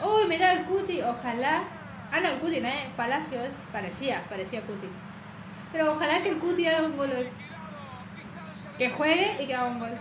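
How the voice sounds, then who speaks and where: Long, frequent pauses break up the moderate pace of a woman with a northeastern Argentine accent, whose high pitch swings very widely over noticeable background noise. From Corrientes, Argentina. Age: 20s. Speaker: gaming YouTuber. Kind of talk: live gameplay commentary. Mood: chatty, opinionated. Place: home room. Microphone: headset.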